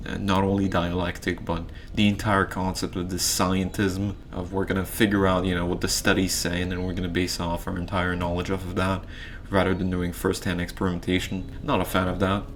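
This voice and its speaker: Very deep, low male speech at a fairly quick pace, monotone and flat, with audible room echo and noticeable background noise. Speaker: YouTuber ranking philosophers. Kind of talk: casual commentary video. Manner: halting, many fillers.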